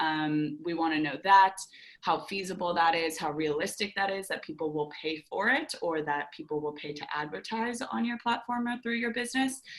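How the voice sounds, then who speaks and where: Her pitch is fairly low for a woman. She talks with lively intonation. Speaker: startup program presenter. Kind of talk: webinar presentation. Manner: fast.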